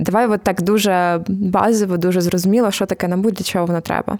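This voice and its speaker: A woman talks at a fairly quick pace in a medium pitch. Her tone is dark and mellow, and her intonation is monotone and flat. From Ukraine, Zhytomyr. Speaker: podcast host. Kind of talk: casual explanatory chat.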